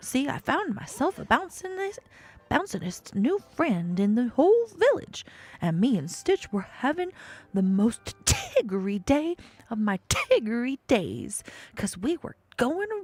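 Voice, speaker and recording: Over music in the background, a female-sounding put-on character voice with a high pitch and very wide pitch swings moves at a moderate pace. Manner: bouncy, excitable.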